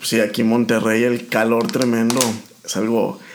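Fairly slow speech from a man, audible room echo around it. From Mexico, rural Aguascalientes. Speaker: oncologist. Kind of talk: casual interview chat.

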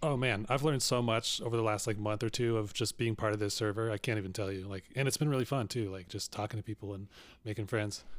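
Talking at a very fast pace, a man with a fairly low voice keeps his intonation fairly even on a very clean recording with a silent background. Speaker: podcast host. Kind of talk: casual interview chat.

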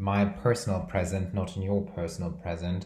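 Audible room echo follows the man's voice. His pitch is very deep and low. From Brazil. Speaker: podcast host. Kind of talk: casual chat. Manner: rambling, filler words.

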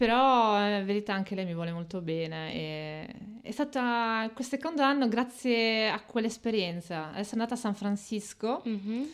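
A normal speaking voice with lively intonation at a moderate pace, on a very clean recording against a silent background. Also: woman. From Italy, Reggio Emilia. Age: 30s. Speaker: podcast guest, migrant woman. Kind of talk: casual interview.

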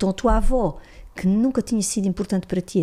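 A woman's somewhat breathy voice with a dark, mellow tone at a very fast pace. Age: 50s. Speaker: psychologist and systemic consciousness facilitator. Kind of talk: interview, explanatory teaching.

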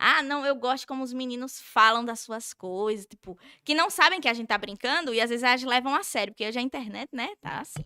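With hardly any pauses, a woman speaks at a fairly quick pace in a high, bright, sharp voice, recorded with a dry, close sound and no echo. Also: lively intonation, big swings in loudness. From Brazil, Sergipe (Nossa Senhora do Socorro, near Aracaju). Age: 20s. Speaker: social media influencer. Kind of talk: casual chat. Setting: studio.

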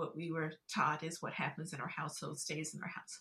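A voice with a slightly husky edge talks at a moderate pace. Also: woman.

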